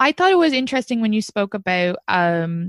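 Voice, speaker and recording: With an Irish accent, a woman talks at a fairly quick pace. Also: dry, close sound with no echo. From Ireland. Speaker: comedian. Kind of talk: casual chat. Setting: video call. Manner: animated.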